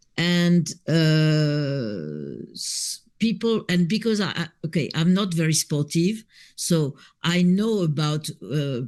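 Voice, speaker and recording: A woman's very deep, low-pitched voice with a French accent, at a very slow pace. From France, Paris. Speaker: B&B owner. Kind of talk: casual chat.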